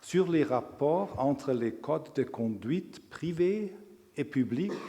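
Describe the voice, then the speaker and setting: Speaking very slowly with a strong non-native accent, a man uses lively intonation at a fairly high pitch, with audible room echo in the recording. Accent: strong foreign accent in French. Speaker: law professor. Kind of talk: lecture. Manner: halting.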